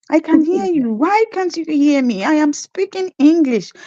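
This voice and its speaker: A woman with a Nigerian accent, a dark, mellow tone and very wide pitch swings, in a dry, close sound with no echo. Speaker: nurse. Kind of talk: interview.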